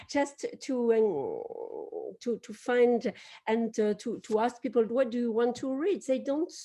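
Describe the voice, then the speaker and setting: In a quiet background, a woman with a French accent talks fairly slowly in a high pitch with ordinary pitch variation. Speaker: publisher. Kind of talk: panel discussion. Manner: halting.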